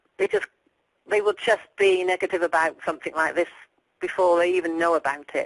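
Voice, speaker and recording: A woman with an English accent speaks at a fairly quick pace in a fairly low pitch. Her loudness stays very even and her intonation fairly even. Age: 60s. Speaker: dieter sharing weight-loss success. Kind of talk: interview.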